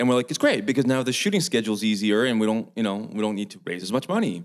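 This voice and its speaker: A man's normal speaking voice with a Canadian accent, fairly low in pitch, with ordinary pitch variation. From Vancouver Island, Canada. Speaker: film director. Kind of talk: panel discussion. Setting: online event.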